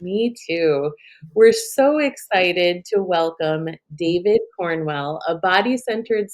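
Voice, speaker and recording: A woman talks in an unremarkable speaking voice. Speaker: podcast host. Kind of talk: podcast introduction.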